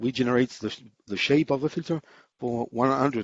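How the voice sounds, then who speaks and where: A man at a medium pitch and moderate pace, with ordinary pitch variation. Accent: French. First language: French. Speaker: amateur radio engineer presenter. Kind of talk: technical conference presentation. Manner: hesitant, many fillers.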